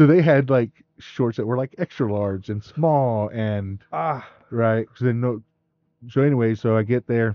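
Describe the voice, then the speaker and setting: With an ordinary speaking voice, a man talks at a medium pitch and a fairly slow pace with ordinary pitch variation. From West Texas (Midland). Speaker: podcast co-host. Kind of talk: casual chat.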